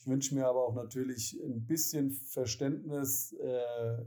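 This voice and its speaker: A man's medium-pitched, dark, mellow voice, monotone and flat, at a moderate pace. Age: 40s. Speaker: city administration mobility officer. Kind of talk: interview. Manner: hesitant with many filler sounds.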